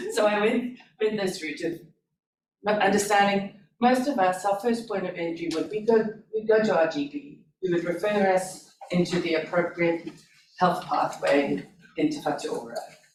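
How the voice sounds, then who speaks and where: This speaker has a South African accent. The pace is moderate. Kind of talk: information session talk.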